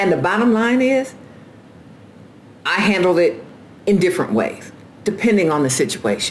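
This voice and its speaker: A woman talks at a medium pitch with lively intonation and very even loudness. Her long, frequent pauses sit against noticeable background noise. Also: moderate pace. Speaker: carpenter and former union steward. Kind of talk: casual vlog monologue. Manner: animated.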